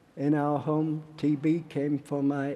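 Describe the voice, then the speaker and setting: The man speaks with a Yorkshire accent. His voice is fairly high in pitch, with a dark, mellow tone. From northern England, Barnsley, Yorkshire. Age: 90s. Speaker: war veteran and activist. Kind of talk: political speech. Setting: stage with audience.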